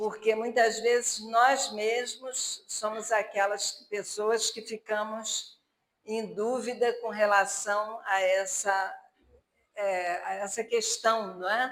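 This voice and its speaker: Audible room echo surrounds a woman who speaks at a very slow pace with fairly even intonation. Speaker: spiritist lecturer. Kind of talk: religious lecture. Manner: halting.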